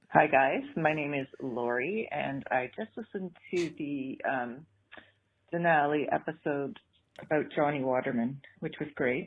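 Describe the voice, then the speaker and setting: Speaking at a fairly slow pace, a woman with a slight Canadian accent has a very deep, low pitch and ordinary pitch variation. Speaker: caller leaving a voicemail. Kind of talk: voicemail message. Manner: hesitant, many ums.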